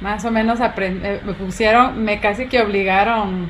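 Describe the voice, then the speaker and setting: A woman with a fairly high pitch speaks at a moderate pace, with audible room echo and noticeable background noise. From Guatemala. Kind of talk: interview.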